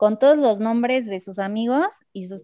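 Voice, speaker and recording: At a moderate pace, a woman with a plain, everyday voice speaks at a fairly high pitch, the sound dry and close with no echo. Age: 20s. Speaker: biotechnology engineering student. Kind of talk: casual improvised chat.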